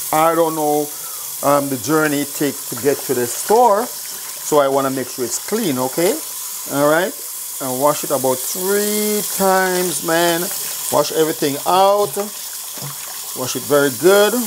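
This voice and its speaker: Over noticeable background noise, a man with a Jamaican accent speaks fairly slowly with long, frequent pauses, using a fairly high pitch and lively intonation. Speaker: cooking show host. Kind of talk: cooking tutorial. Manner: casual, chatty.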